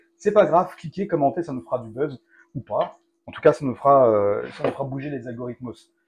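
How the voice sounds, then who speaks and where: Speaking at a fairly quick pace, a man has a fairly high pitch and lively intonation. His voice is somewhat breathy, with big swings in loudness. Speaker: cooking video host. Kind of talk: casual cooking tutorial.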